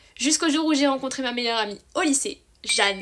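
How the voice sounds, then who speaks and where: An enthusiastic woman at a high pitch, fairly quick, with lively intonation and noticeable background noise. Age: 20s. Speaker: book youtuber. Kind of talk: casual vlog monologue. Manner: chatty, enthusiastic.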